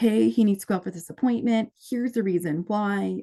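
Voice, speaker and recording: The voice has a dark, mellow tone and an American accent, moving at a fairly quick pace with ordinary pitch variation. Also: woman. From New England, US. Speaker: guardian and care manager. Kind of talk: conference presentation. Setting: conference room with audience. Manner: fast; animated.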